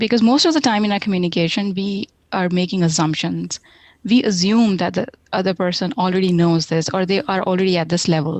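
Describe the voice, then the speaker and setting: A woman at a medium pitch with an Indian accent, fairly quick in pace, with ordinary pitch variation. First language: Hindi. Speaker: software tech lead. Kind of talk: interview.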